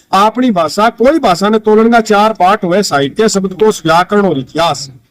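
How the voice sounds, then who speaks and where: With a Rajasthani accent, a man speaks at a moderate pace in a high pitch, the sound dry and close with no echo. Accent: Rajasthani-accented Hindi. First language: Rajasthani (speaking Hindi). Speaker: writer and language activist. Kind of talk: interview. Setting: outdoors at a farm fair.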